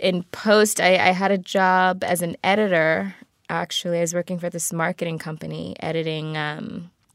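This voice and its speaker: A woman with an American accent has a normal speaking voice, fairly low in pitch with fairly even intonation. She keeps a moderate pace in a very clean recording with a silent background. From Baltimore, US. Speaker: actress. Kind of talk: casual interview chat. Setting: small studio.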